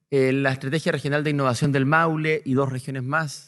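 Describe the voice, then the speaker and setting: With a Chilean accent, a man talks at a fairly quick pace, his fairly high pitch held to a fairly even intonation. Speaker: panelist, academic researcher. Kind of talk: conference panel presentation. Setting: seminar hall with audience. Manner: fast; hesitant, many filler words.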